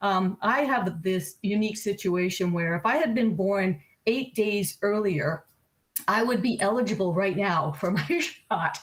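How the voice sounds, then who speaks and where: Somewhat breathy and very even in loudness, a woman speaks fairly slowly at a medium pitch. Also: ordinary pitch variation. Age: 60s. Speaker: computer club member. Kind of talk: casual chat.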